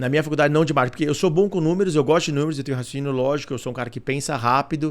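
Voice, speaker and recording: Speaking at a very fast pace, a man talks in a fairly high pitch. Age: 40s. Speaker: corporate director. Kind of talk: interview. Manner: animated.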